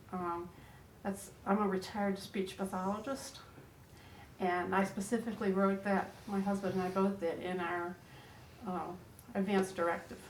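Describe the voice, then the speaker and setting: Over audible room echo, a woman of medium pitch speaks at a moderate pace in a flat monotone, with long, frequent pauses. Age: 70s. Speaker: retired speech pathologist. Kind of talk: group discussion.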